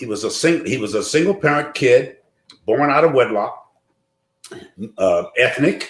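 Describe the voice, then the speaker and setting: The speaker is a man. His pace is moderate, broken by long pauses that come often. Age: 60s. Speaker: bishop, pastor. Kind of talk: casual chat. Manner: animated.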